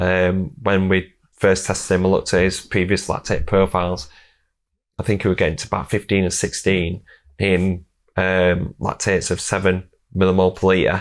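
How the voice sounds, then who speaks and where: In a Yorkshire accent, a man speaks with a very deep, low pitch and monotone, flat intonation. His pace is moderate, and the recording is very clean with a silent background. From Yorkshire, England. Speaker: strength and conditioning coach, podcast host. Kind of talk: casual interview chat; sponsor read.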